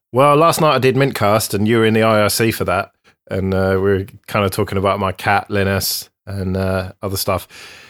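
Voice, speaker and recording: Speaking with an English accent at a fairly quick pace, a man uses fairly low pitch and ordinary pitch variation on a very clean recording with a silent background. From England. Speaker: podcast host. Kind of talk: casual chat.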